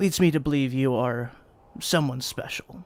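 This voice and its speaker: A man puts on a raspy character voice. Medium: actual play. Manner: slow, solemn.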